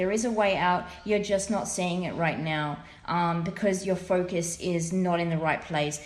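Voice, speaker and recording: A woman's fairly low-pitched voice carries audible room echo. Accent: Australian. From Australia. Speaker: tarot reader. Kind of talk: tarot reading monologue. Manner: casual, filler-heavy.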